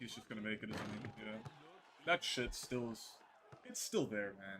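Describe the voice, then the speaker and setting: The speech moves at a moderate pace with ordinary pitch variation and big swings in loudness over noticeable background noise. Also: man, fairly low pitch for a man. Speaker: gaming streamer. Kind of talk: live gameplay commentary. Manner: low energy.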